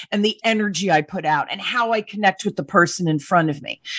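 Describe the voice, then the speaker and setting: Over a quiet background, a woman talks fairly quickly at a medium pitch. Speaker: sales coach. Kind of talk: interview. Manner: energetic.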